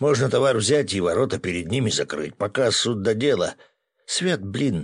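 Here is a natural reading voice with lively intonation. The background is quiet.

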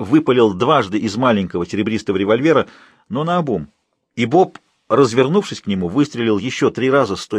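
With lively intonation, someone does plain reading aloud while the background stays quiet.

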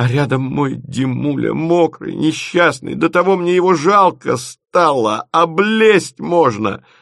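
A man performs a put-on character voice, fairly high in pitch with vocal fry and a fairly bright tone. He moves slowly, with lively intonation.

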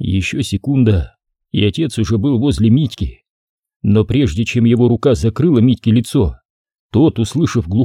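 The pitch varies in an ordinary way as someone reads aloud in a natural voice, with little behind it but a quiet background.

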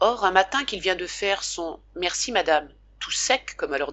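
Reading aloud in a natural voice, full of lively intonation

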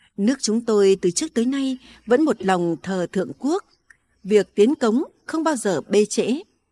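Over a quiet background, a voice reads aloud naturally, its intonation lively.

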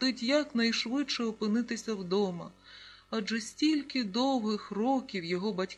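Someone is doing plain reading aloud.

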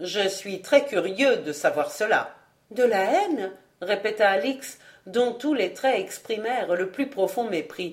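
The reading voice is unforced, and its intonation is lively.

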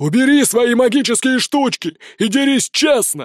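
A man's growling, put-on character voice, extremely high in pitch, at a moderate pace. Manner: growling, angry.

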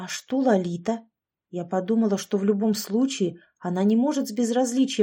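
A natural reading voice, with ordinary pitch variation, is heard against a quiet background.

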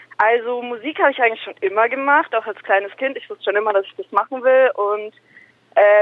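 This woman has a plain, everyday voice. Her pitch is fairly high, with ordinary variation. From Nuremberg, Franconia (moved there young). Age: 20s. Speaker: rapper. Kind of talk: interview.

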